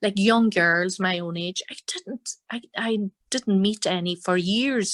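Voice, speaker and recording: A woman with a Donegal accent speaks at a very slow pace with fairly even intonation, and the sound is dry and close with no echo. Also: medium pitch for a woman. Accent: Donegal Irish. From Ireland, Donegal. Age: 60s. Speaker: fiddle player and singer. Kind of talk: interview.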